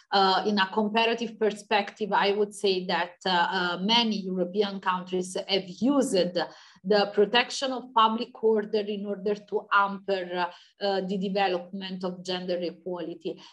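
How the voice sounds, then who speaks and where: With an Italian accent, a woman speaks at a medium pitch and a moderate pace. Her intonation stays fairly even. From Italy. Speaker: law professor. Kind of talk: academic Q&A answer. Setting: video call.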